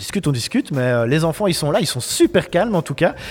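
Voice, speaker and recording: A man at a very fast pace, lively intonation, and noticeable background noise behind him. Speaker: web radio host. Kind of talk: live radio show. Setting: school classroom. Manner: loud.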